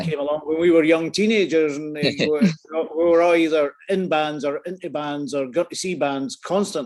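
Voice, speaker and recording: A man with a Scottish accent speaks at a moderate pace, his fairly high pitch moving with ordinary variation. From Scotland. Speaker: photographer. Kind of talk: interview answer. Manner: casual, rambling.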